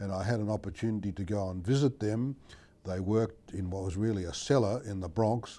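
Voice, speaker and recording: With an Australian accent, a man talks at a fairly quick pace with ordinary pitch variation. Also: fairly low pitch for a man. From Australia, Melbourne. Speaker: medical researcher, endocrinologist. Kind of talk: interview answer.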